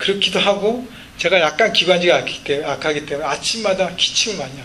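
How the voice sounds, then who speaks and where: Amid noticeable background noise and audible room echo, a man talks at a very fast pace in a high pitch, with ordinary pitch variation and big swings in loudness. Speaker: pastor. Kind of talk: sermon.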